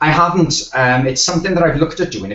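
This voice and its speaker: This man talks with a South Wales accent. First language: Welsh. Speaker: web designer, agency owner. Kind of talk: podcast interview. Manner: halting, many fillers.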